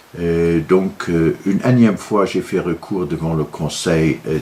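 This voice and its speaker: A man with a Luxembourgish accent and ordinary pitch variation. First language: Luxembourgish (speaking French). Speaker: political commentator, law graduate. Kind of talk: video monologue. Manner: halting, many filler hesitations.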